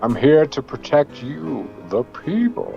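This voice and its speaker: Fairly high-pitched put-on character voice from a man, fairly slow in pace, with clear music in the background. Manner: mock-heroic, campaign pitch.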